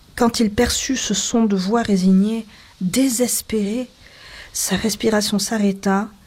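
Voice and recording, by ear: A natural voice reads the text aloud.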